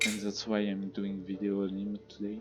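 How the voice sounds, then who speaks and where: Noticeable background noise accompanies a man with a French accent speaking at a fairly low pitch and a moderate pace. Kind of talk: gameplay commentary.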